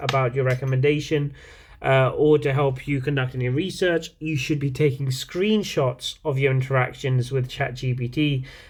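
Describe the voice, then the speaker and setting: Flat, monotone delivery from a man with a fairly high, somewhat breathy voice. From outside the UK. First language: not English. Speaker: university lecturer. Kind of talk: lecture. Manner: hesitant, many fillers.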